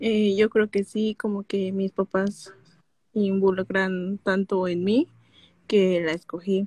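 Somewhat breathy and very slow, a woman speaks in a dark, mellow tone with monotone, flat intonation, the sound dry with no echo. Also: quiet background. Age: 20s. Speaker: caller, young graduate; caller. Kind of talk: personal conversation. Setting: live stream call. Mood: unsure, somewhat troubled, shy. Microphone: video call.

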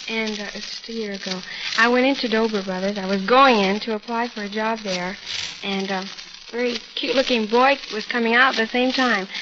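Against noticeable background noise, a woman talks at a fairly quick pace with a fairly high pitch and fairly even intonation. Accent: American. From US West Coast (California). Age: young (19). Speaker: bride on a wedding show. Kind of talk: interview. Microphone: old recording.

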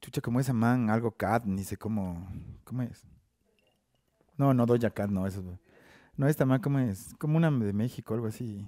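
In a dark, mellow tone, a man speaks at a moderate pace with long, frequent pauses and ordinary pitch variation, the sound dry with no echo against a quiet background. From Ecuador, Ambato; Ecuador. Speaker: rapper; guest. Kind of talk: casual chat. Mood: relaxed, casual, joking. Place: studio. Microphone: headset.

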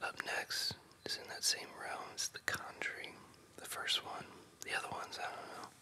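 Someone is whispering. The pace is moderate. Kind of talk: ASMR casual talk about favorite movies. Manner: whispered.

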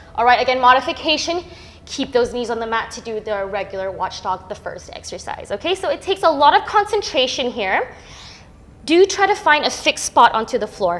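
With music in the background, a woman speaks at a fairly quick pace in a high voice with very wide pitch swings. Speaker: Pilates instructor. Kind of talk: fitness class instruction. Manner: encouraging, rhythmic cueing; calm, instructive. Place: gym.

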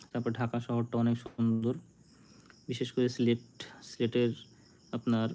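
A man's dark, mellow tone holds very even loudness with monotone, flat intonation. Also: medium pitch for a man. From India, West Bengal (Nadia district). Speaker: YouTuber. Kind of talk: casual live stream chat. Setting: live stream.

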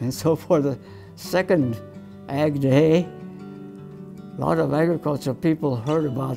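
Over clear music in the background, a man with an American accent speaks at a fairly slow pace in a fairly high voice with very wide pitch swings. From Colorado, USA. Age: 80s+. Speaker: professor emeritus of animal sciences. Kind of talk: interview answer. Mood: warm, smiling reminiscence. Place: meeting room. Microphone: lapel.

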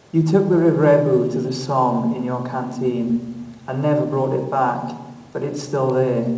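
A man's medium-pitched voice, with ordinary pitch variation, is heard through noticeable background noise. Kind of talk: poem performed. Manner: tender, slow, intimate address to the dead.

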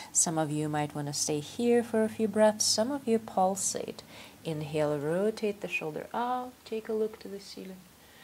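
A woman with a normal speaking voice talks at a medium pitch with lively intonation. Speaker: yoga instructor. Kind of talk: guided yoga class, calm step-by-step cueing of poses and breath. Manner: slow, calm, soothing; instructional, with filler 'um' and 'uh' pauses.

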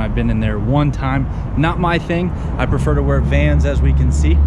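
The speaker talks at a moderate pace. Loud background noise is present. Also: man. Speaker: vlogger. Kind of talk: casual vlog chat. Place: street. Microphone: phone near.

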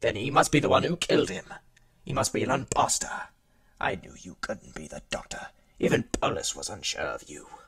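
A man puts on a character voice, moving at a fairly quick pace broken by long, frequent pauses. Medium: audio drama. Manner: hostile, haughty, defensive.

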